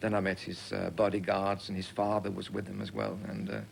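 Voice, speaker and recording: Someone with a Danish accent talks at a fairly quick pace with vocal fry, and the room echo is audible. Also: man. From Denmark. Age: young. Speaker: singer and entertainer. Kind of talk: TV interview. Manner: halting.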